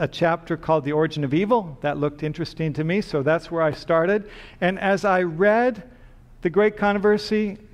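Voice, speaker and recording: His voice sits high in pitch, with ordinary pitch variation, as the man speaks at a moderate pace. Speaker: preacher. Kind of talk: sermon. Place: church.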